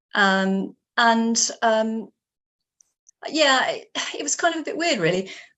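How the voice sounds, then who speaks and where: Speaking with a southern English accent, a woman at a fairly high pitch talks at a very slow pace with long, frequent pauses and very wide pitch swings. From England. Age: 60s. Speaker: writer. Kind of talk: interview. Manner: halting, many fillers.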